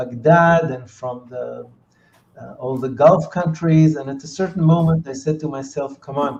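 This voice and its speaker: A man with a fairly high, somewhat breathy voice speaks at a moderate pace with fairly even intonation and big swings in loudness. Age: 60s. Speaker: entrepreneur and peace activist. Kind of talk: interview. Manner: halting, many fillers.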